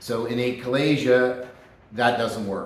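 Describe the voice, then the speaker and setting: There is audible echo in the room. A man speaks at a medium pitch. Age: 60s. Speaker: chiropractor. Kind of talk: personal testimony monologue. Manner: casual, with fillers.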